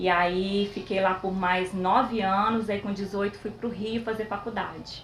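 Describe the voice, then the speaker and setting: At a fairly slow pace with hardly any pauses, a woman speaks in a monotone, flat intonation at a medium pitch. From Espírito Santo, Brazil (São Mateus). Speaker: physiotherapist. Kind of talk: interview. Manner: soft-spoken.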